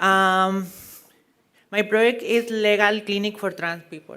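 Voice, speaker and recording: A woman speaks with a Spanish accent at a medium pitch. Her tone is bright and sharp. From Mexico. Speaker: pageant contestant. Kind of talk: pageant advocacy speech.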